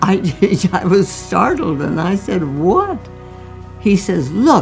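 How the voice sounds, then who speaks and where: Music plays in the background as a woman talks very slowly. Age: 80s+. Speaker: doctor. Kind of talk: interview answer.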